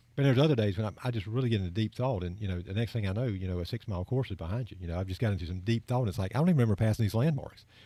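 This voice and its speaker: A man speaks very fast with hardly any pauses, at a fairly low pitch with ordinary pitch variation. His tone is dark, mellow and somewhat breathy, and the recording is very clean with a silent background. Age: 50s. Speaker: running podcast co-host. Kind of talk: casual chat. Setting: studio.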